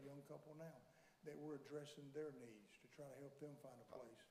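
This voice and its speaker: A man's dark, mellow voice at a fairly high pitch and a fairly quick pace, with audible room echo. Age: 60s. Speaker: landlord and property developer. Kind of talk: public hearing testimony. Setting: county commission meeting in a courtroom. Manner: halting, with repetitions.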